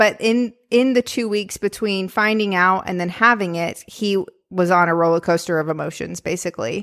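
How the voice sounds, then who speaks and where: A woman with a plain, everyday voice speaks at medium pitch and a moderate pace, with ordinary pitch variation and hardly any pauses. The recording is very clean, with a silent background. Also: dry, close sound with no echo. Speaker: podcast host and theater director. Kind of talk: casual chat.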